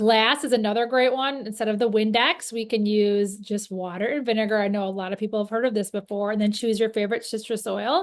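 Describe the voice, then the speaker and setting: Speaking at a very fast pace with hardly any pauses, this voice keeps a fairly even intonation over a quiet background. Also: woman, fairly high pitch for a woman. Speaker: natural cleaning workshop presenter. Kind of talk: instructional workshop talk.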